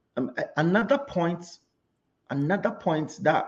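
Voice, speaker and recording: A man is speaking. His voice is somewhat breathy. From Ghana, Kumasi. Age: young. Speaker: risk management consultant. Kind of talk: interview.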